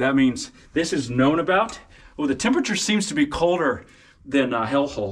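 Here a man speaks with lively intonation. His pace is fairly quick. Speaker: cave explorer vlogger. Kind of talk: casual vlog chat. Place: tunnel cave. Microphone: phone near.

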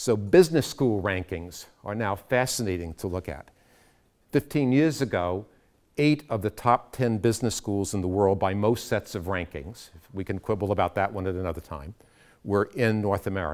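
A man speaks at a moderate pace. His pitch is fairly low, and the background is quiet. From United States. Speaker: education consultant; speaker. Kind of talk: lecture. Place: classroom.

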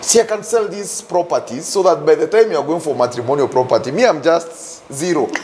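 With faint background noise, a man speaks at a fairly quick pace and fairly high pitch, showing ordinary pitch variation and a slightly mellow tone.

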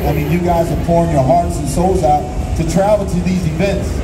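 A man speaks at a moderate pace while noticeable background noise runs behind him. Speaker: guest. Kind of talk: interview answer. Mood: grateful, earnest. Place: hall.

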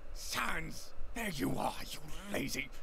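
A man puts on a gruff character voice. Loud noise fills the background. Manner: scolding, exasperated.

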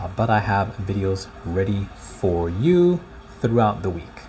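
Against light background noise, a man with a fairly low voice speaks at a fairly slow pace. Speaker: faith vlogger. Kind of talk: casual religious vlog talk. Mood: warm, devotional. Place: home room. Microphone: phone near.

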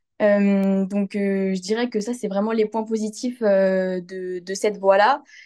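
The tone is dark and mellow, monotone and flat, at a very slow pace. The background is quiet. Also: woman, medium pitch for a woman. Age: 20s. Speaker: veterinary student. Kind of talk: testimony. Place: home room. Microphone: phone near.

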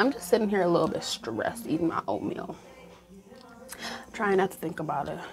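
With an American accent, a woman speaks at a fairly low pitch and a fairly quick pace, using lively intonation. She leaves long, frequent pauses, and music plays in the background. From Michigan. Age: young. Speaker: university freshman. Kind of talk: casual vlog talk to camera. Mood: stressed, bored, venting. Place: home room. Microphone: lapel.

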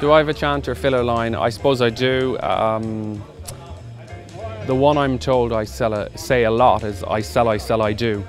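A man speaks at a moderate pace with ordinary pitch variation. Clear music plays behind him, and the sound is dry with no echo. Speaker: auctioneer. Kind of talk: interview answer. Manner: conversational, reflective. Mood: relaxed, slightly amused. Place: open country.

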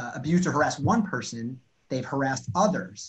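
A somewhat breathy man speaks at a very fast pace. The background is quiet. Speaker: law professor guest. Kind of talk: interview answer. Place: home room. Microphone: video call.

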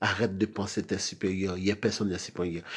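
A man talks at a fairly low pitch with monotone, flat intonation. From Haiti. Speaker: video blogger. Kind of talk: monologue rant. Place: home room. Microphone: phone near.

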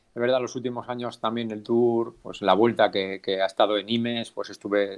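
Against a quiet background, a man with a normal speaking voice talks fairly quickly at a fairly low pitch with fairly even intonation. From Navarra, Spain (Alsasua); Navarra, Spain. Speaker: cycling race announcer. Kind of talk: casual interview. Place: home room. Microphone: unstable connection.

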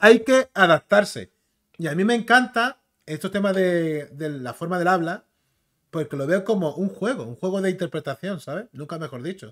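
Over a quiet background, a man with a high pitch for a man speaks at a moderate pace in an animated tone, his lively intonation paired with big swings in loudness. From Canary Islands, Spain. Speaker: YouTuber, comics and film commentator; YouTuber, comics, film commentator. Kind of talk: casual commentary video; casual live-stream commentary. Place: home room.

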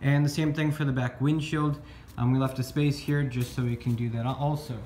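A man speaks at a fairly quick pace in a dark, mellow, somewhat breathy tone, with monotone, flat intonation and very even loudness. Audible room echo and light background noise are present. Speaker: DIY car vlogger. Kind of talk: tutorial. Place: garage. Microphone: phone near.

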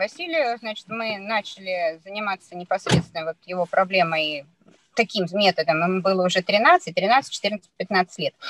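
Against light background noise, a woman with an ordinary speaking voice talks at a medium pitch and a fairly slow pace, the sound dry with no echo. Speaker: parent sharing experience. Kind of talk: testimonial in online seminar conversation. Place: car. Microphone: video call.

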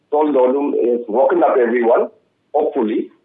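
The voice moves at a moderate pace over a quiet background. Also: man. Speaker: panelist. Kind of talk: televised panel debate. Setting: remote call. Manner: halting. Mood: earnest, appealing. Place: home room. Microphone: video call.

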